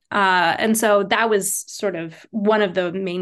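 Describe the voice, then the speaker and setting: With ordinary pitch variation, a woman talks in a voice marked by vocal fry. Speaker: Judaic studies professor. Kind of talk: podcast interview.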